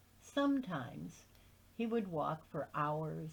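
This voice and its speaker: A woman speaks at a fairly slow pace. Her voice is fairly low and somewhat breathy. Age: 70s. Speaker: amateur reader of literature. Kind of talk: reading aloud; casual introduction.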